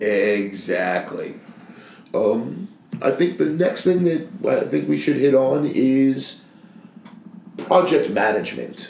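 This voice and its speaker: A man talks at a very slow pace with long, frequent pauses and very even loudness. Audible room echo surrounds his voice. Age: 30s. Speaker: podcast co-host, painting contractor. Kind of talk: casual chat.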